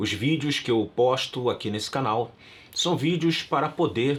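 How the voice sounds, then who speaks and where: An ordinary speaking voice from a man, fairly high in pitch, fairly slow, with lively intonation. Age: 60s. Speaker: pastor. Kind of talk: religious talk to channel viewers.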